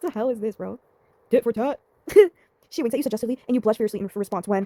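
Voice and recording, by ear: The voice reads aloud naturally.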